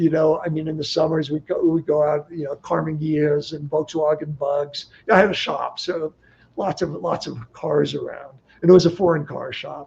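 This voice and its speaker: Amid noticeable background noise, a man with a fairly high pitch speaks in a monotone, flat intonation, his loudness swinging widely. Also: moderate pace. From California (Bay Area). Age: 70s. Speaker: desert explorer and guidebook author. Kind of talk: livestream interview. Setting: livestream. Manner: halting, many false starts.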